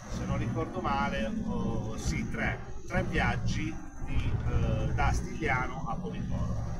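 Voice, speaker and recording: A man's very slow speech amid loud background noise. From Apulia, Italy. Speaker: truck driver. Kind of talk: casual talk to camera. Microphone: phone near.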